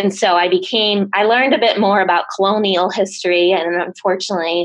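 A woman speaks at medium pitch and a moderate pace, with ordinary pitch variation. It is an unremarkable speaking voice. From Rhode Island / southeastern Massachusetts, US. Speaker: public health scientist. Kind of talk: interview.

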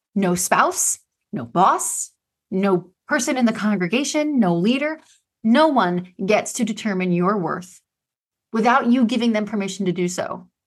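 At a fairly slow pace, a woman uses a normal speaking voice with a fairly high pitch and lively intonation. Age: 40s. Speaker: podcast host. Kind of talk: monologue.

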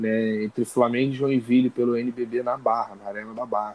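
A man with a normal speaking voice talks at medium pitch and a moderate pace. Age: 20s. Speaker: journalism student and sports reporter. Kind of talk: interview.

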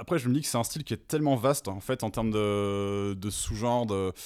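A man talks in an ordinary speaking voice, medium in pitch with ordinary pitch variation, at a fairly quick pace. The recording is very clean, with a silent background. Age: 30s. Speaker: metal musician. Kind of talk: casual chat.

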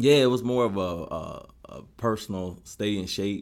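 A man speaks fairly low in pitch, with ordinary pitch variation. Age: 30s. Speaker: fitness group member. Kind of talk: interview. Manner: halting.

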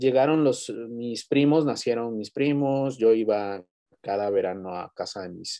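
A man's dark, mellow voice with a Mexican accent, dry and close with no echo. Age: 30s. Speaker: university lecturer. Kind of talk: interview storytelling. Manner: halting, repeats words.

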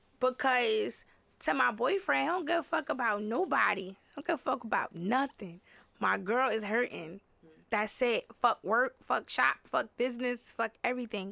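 Bright and sharp in tone, this animated voice has vocal fry and very wide pitch swings. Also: woman, moderate pace. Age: 30s. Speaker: hair salon owner. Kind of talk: casual chat.

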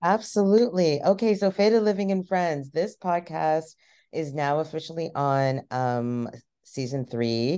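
A woman speaks at a fairly slow pace against a quiet background, her very deep, low voice dark and mellow in tone with lively intonation. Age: 40s. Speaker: cannabis chef and podcaster. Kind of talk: casual interview chat.

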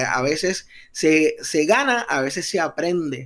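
A man's animated voice, fairly high-pitched, on a very clean recording with a silent background. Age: 30s. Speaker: podcast host. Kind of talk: motivational talk.

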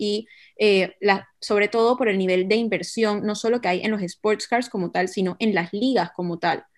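Over a quiet background, a woman speaks in an ordinary speaking voice with fairly even intonation. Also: medium pitch for a woman, moderate pace. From Panama. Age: 20s. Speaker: marketing business owner, football fan and card collector. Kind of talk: casual podcast conversation.

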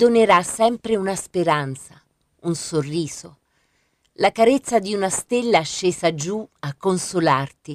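A woman with an unremarkable speaking voice talks at a fairly slow pace, with medium pitch and lively intonation. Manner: slow, hushed and dreamy, with soft lyrical cadence and pauses between images.

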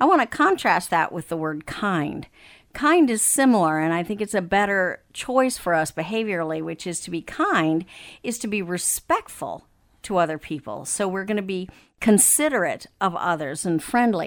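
An ordinary speaking voice in an American accent, at a moderate pace with lively intonation, on a very clean recording with a silent background. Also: woman, medium pitch for a woman. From Africa, then Texas. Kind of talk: interview about marriage and counseling, casual conversation.

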